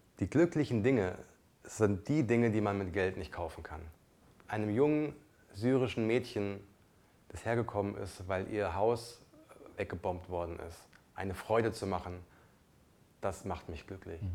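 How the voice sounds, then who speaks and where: Pausing long and often, a man with a non-native accent talks at a fairly slow pace in a fairly low pitch, his dark, mellow tone showing ordinary pitch variation and big swings in loudness. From came to Germany as a child refugee. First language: not German (speaking German). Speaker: podcast co-host. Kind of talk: casual chat.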